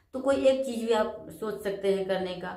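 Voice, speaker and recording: Audible room echo surrounds a woman's medium-pitched voice. She talks at a fairly slow pace with ordinary pitch variation. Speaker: spiritual self-help vlogger. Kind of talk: motivational talk.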